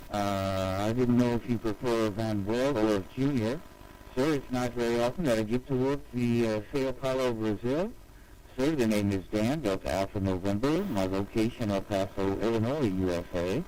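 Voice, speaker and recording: A man with a normal speaking voice, medium in pitch, at a moderate pace, with ordinary pitch variation and very even loudness. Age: 60s. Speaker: amateur radio operator. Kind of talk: ham radio contact exchange. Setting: amateur radio transmission. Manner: formal.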